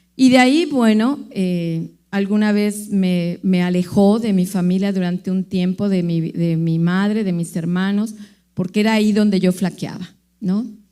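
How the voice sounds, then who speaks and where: Her voice has a dark, mellow tone as a woman speaks at a fairly slow pace in a medium pitch with ordinary pitch variation. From Mexico, Veracruz. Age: 60s. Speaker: recovered alcoholic. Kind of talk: testimony.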